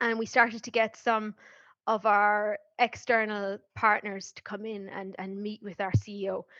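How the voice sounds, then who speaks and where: A woman with an Irish accent speaks at a moderate pace and medium pitch, her tone bright and sharp, her intonation monotone and flat, and her loudness swinging widely. The sound is dry and close, with no echo, over a quiet background. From Ireland. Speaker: marketing professional, program alumna. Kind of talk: podcast interview.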